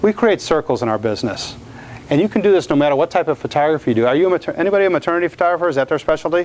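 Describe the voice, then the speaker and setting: A man talks very fast in a fairly high voice with an American accent. His intonation is lively, and background noise is noticeable. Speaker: portrait photographer. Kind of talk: lecture. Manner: loud.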